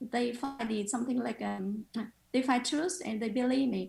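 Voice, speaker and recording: A woman talks fairly slowly in a high voice with ordinary pitch variation. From Vietnam. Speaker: photographer. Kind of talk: interview. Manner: halting.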